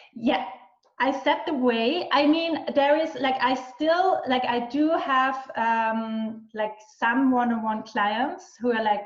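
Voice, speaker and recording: A woman with an Austrian accent speaks very slowly at a high pitch, with ordinary pitch variation. Audible room echo surrounds her voice. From western Austria. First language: German. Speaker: business and mindset mentor. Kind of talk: interview. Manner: halting, many fillers and restarts.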